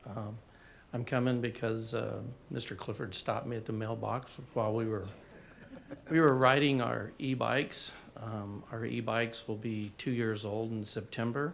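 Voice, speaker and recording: Using a normal speaking voice, a man talks with fairly even intonation. His pitch is medium and his pace moderate. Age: 60s. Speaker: resident giving public comment. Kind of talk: public comment at meeting.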